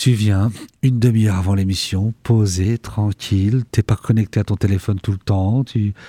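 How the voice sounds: A man speaks at a fairly slow pace in a fairly low pitch, his dark, mellow tone carrying a slightly husky edge, with fairly even intonation and a dry, close sound with no echo.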